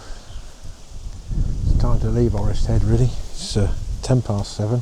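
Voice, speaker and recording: A man with an English accent speaks at a very slow pace. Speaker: travel vlogger. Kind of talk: casual vlog narration. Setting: outdoors.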